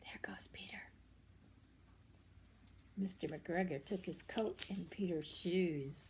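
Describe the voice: Speaking slowly, a woman with a fairly low pitch and slightly mellow tone shows ordinary pitch variation.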